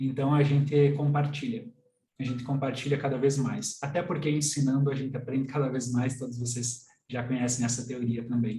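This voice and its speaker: This man has a medium pitch and a monotone, flat intonation. He talks at a moderate pace. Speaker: systemic constellation coach. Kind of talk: online workshop lecture. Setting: live stream.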